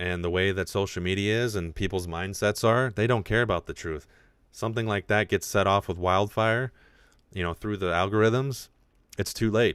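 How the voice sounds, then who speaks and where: Here a man speaks at a moderate pace. His pitch is fairly low and his intonation fairly even. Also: very clean recording, silent background. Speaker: podcast host and independent creator. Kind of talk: live stream casual chat. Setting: live stream from home. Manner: less enunciated.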